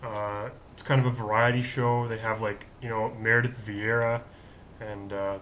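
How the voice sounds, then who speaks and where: Amid noticeable background noise and audible room echo, a man speaks fairly slowly in a flat monotone at medium pitch. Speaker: video show host. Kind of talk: casual monologue. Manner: conversational, with fillers.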